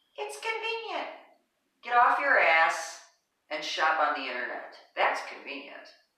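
A woman speaks at a fairly slow pace, her loudness swinging widely, with audible echo in the room. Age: 60s. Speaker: wellness podcast host. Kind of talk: casual chat. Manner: animated.

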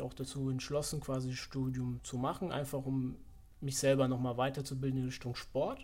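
Audible room echo surrounds a man at medium pitch. His intonation is monotone and flat, at a moderate pace. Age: 20s. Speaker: fitness economics student. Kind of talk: casual interview.

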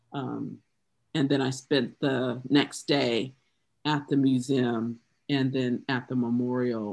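Speaking with a Southern US accent, a woman has a very deep, low pitch. Her delivery is very slow and her intonation flat and monotone. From US South, South Carolina. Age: 50s. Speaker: poet. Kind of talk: casual chat.

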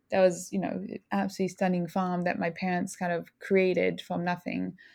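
A woman with a French accent talks at medium pitch on a very clean recording with a silent background. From southern France, small village. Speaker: bakery owner. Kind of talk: interview conversation.

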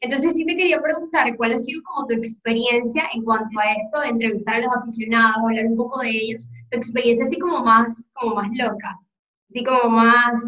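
This is an ordinary speaking voice. It goes at a fairly quick pace with ordinary pitch variation. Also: woman, fairly high pitch for a woman. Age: 20s. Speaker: podcast host. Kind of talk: casual interview conversation.

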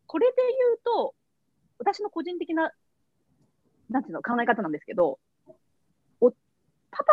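Her pitch swings very widely. This woman talks at a very fast pace. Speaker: company CEO and founder. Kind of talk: interview.

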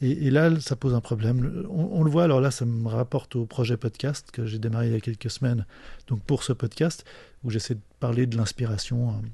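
A man with a medium pitch and a dark, mellow tone speaks at a fairly quick pace. His voice is somewhat breathy, with ordinary pitch variation. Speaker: podcast host. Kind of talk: solo monologue. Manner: halting.

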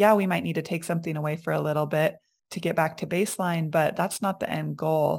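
Speaking at a very fast pace, a woman with a very deep, low voice and vocal fry keeps her intonation fairly even, recorded very cleanly against a silent background. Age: 30s. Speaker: naturopath and health coach. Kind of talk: casual interview chat.

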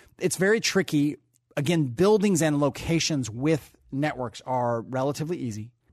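An unremarkable speaking voice with an American accent moves at a moderate pace with lively intonation. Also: man, fairly high pitch for a man. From US Pacific Northwest (Tacoma, Washington). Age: 50s. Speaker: newspaper publisher. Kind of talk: interview.

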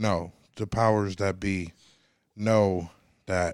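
On a very clean recording with a silent background, a man speaks in a very deep, low pitch with monotone, flat intonation. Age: 30s. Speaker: podcast host. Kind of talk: casual chat.

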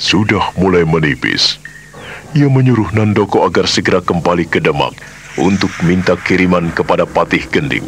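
A man speaks in a theatrical tone with lively intonation at a moderate pace. Noticeable background noise sits behind him. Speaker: radio drama narrator. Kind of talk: dramatic narration of a historical radio drama, solemn storyteller delivery. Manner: measured, theatrical, suspenseful.

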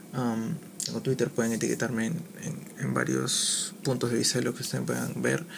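Noticeable background noise behind a man's moderately paced speech. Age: 20s. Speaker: podcaster. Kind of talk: casual monologue. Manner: halting, many fillers.

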